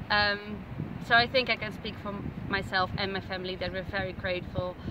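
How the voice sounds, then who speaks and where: A woman speaks at a moderate pace and medium pitch over loud background noise. The sound is dry with no echo. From Netherlands. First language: Dutch. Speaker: tourist on vacation. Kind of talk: casual travel vlog commentary. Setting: outdoors at night. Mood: warm, grateful, friendly. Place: beach. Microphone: phone near.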